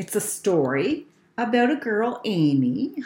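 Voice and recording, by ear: Someone is reading a text aloud in a natural voice.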